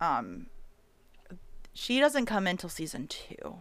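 Vocal fry marks a woman's speech at a fairly slow pace. The recording is very clean with a silent background. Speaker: podcast co-host. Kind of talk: casual chat.

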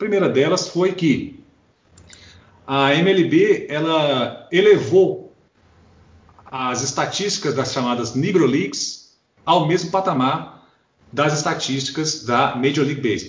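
A man speaks at a very slow pace, pitched fairly high. His pitch varies in an ordinary way, and he takes long, frequent pauses. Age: 40s. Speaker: podcast co-host, lawyer. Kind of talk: casual chat.

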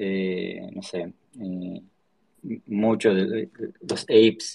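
A man's fairly low voice, monotone and flat, at a very slow pace. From Argentina, Patagonia (Choele Choel, Río Negro). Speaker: tech startup founder. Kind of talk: casual interview. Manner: halting, many repetitions and fillers.

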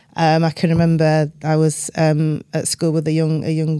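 In a South Yorkshire accent, a woman speaks with a dark, mellow tone at a very deep, low pitch. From northern England, Doncaster. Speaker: business executive. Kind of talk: interview.

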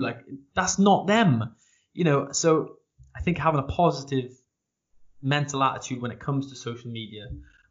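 In a South Welsh accent, a man speaks somewhat breathily at a moderate pace with ordinary pitch variation. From South Wales. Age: 20s. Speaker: podcast host and barber. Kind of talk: interview conversation. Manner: halting.

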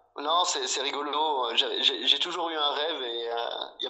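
Noticeable background noise sits behind a man whose fairly high pitch shows ordinary variation. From France, Bordeaux. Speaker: wine merchant. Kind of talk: casual interview. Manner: halting, many repetitions.

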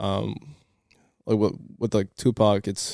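The voice has a dark, mellow tone and monotone, flat intonation, heard in a dry, close sound with no echo. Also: man. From Cape Verde. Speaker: podcast guest. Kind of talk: casual chat.

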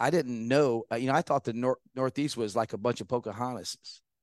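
A man with an ordinary speaking voice talks at medium pitch with ordinary pitch variation, the sound dry and close with no echo over a quiet background. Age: 50s. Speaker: war veteran. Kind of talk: casual chat.

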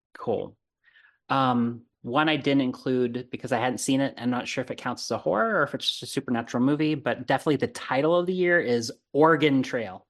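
Against a quiet background, a man with an American accent talks at a fairly quick pace in a plain, everyday voice. His pitch is medium, with ordinary pitch variation. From Arizona, US. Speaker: horror podcast host. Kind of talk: casual chat.

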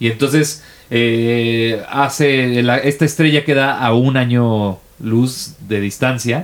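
A man speaks at a very slow pace, his pitch medium with ordinary variation. His loudness stays very even. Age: 30s. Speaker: podcast co-host. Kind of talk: casual chat.

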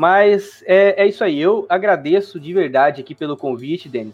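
A man talks at a moderate pace with a high pitch and ordinary pitch variation. Music plays in the background. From Brazil, interior of Mato Grosso (Juara). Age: 20s. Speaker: gaming YouTuber. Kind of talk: casual interview. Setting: live stream.

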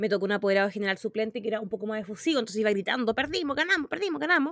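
In a dry, close recording with no echo, a woman with a Chilean accent talks at a fairly high pitch. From southern Chile, Magallanes. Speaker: podcast co-host. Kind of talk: casual chat.

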